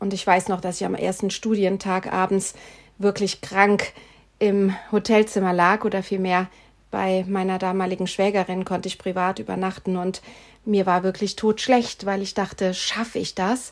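Monotone, flat intonation marks a woman's medium-pitched speech. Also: moderate pace. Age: 50s. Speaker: podcast host, health and change coach. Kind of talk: solo podcast monologue.

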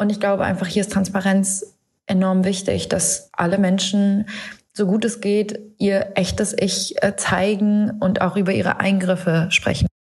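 A woman's medium-pitched, monotone, flat delivery at a fairly slow pace with very even loudness. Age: 30s. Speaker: DJ and presenter. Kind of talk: recorded statement.

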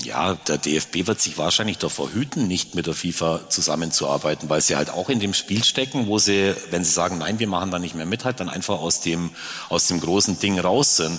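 Noticeable background noise surrounds a man with a very deep, low pitch who talks at a moderate pace with ordinary pitch variation. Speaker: football club president. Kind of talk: live panel talk. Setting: stage with audience.

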